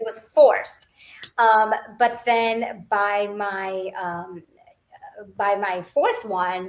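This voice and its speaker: A woman with a Gujarati accent speaks at a medium pitch. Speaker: author and clinical scientist. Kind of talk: interview.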